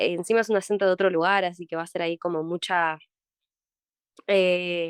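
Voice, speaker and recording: With a quiet background and a dry, close sound with no echo, a woman speaks in a monotone, flat intonation at a moderate pace, leaving long, frequent pauses. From Argentina, Mar del Plata. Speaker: actress. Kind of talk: interview. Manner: halting.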